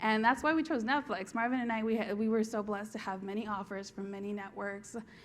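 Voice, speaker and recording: Talking at a very fast pace, a woman with an American accent uses a fairly high pitch and ordinary pitch variation, with audible room echo around her. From Southern California, Norwalk near LA. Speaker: TV series creator and writer. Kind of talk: conference stage interview. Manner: animated.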